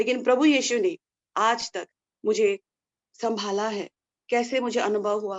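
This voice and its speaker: With a Nepali accent, the speaker uses ordinary pitch variation and leaves long, frequent pauses. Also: woman, fairly high pitch for a woman. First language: Nepali (speaking Hindi). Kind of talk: testimony. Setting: indoors in a room at home. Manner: halting, with false starts.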